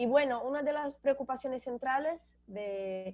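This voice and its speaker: A woman speaks in a high pitch with a Brazilian accent and ordinary pitch variation. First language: Portuguese (speaking Spanish). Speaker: graduate student panelist. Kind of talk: academic seminar talk. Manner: halting, with self-corrections.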